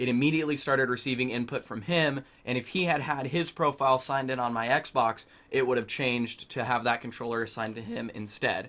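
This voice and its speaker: Moving at a fairly quick pace with hardly any pauses, a man speaks at medium pitch with fairly even intonation and a bright, sharp tone. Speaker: gaming YouTuber. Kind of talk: tutorial. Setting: home gaming setup. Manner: loud. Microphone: far from the mic.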